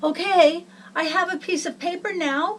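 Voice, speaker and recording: A woman does a put-on character voice, squeaky and extremely high in pitch. Her intonation is fairly even and her pace moderate. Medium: read story.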